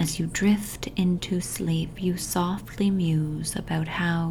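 Intonation stays fairly even as the words come very slowly. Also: woman. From Toronto, Canada. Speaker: hypnotist. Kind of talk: guided hypnosis meditation for sleep. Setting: home recording with family noise in the background. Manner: slow, soothing, hypnotic repetition; soft, calm and gently paced.

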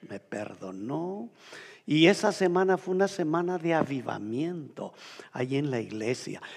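Very wide pitch swings mark this man's speech. He goes at a fairly slow pace. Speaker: pastor. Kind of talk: sermon.

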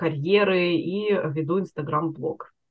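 This woman has an ordinary speaking voice, pitched fairly low, with ordinary pitch variation. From Russia, Chelyabinsk. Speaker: career coach. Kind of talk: interview.

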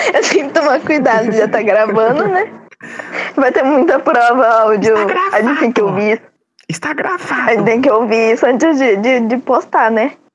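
A woman with a high pitch speaks at a moderate pace. Her intonation is lively and her loudness very even. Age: 20s. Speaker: podcast host. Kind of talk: casual chat. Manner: animated. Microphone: laggy internet connection.

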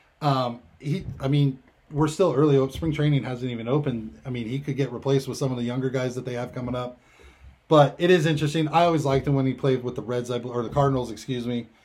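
Very fast and somewhat breathy, a man talks with fairly even intonation. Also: medium pitch for a man. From California, Bay Area. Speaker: sports radio commentator. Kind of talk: casual sports chat. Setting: home studio.

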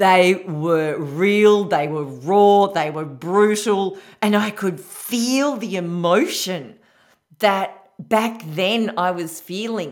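Speaking at a very slow pace with an Australian accent, a woman keeps a medium pitch and ordinary pitch variation, with audible room echo. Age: 50s. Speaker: podcast host, women's empowerment coach. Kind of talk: solo podcast monologue.

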